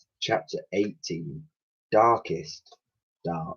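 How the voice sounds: A man speaks at a very slow pace with a low pitch and ordinary pitch variation. His tone is fairly bright with a slightly husky edge.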